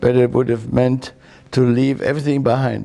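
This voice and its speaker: A man speaks with a German accent at a moderate pace. His tone is dark and mellow. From Germany. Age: 80s+. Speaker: war veteran and memoir author. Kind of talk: interview testimony. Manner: halting.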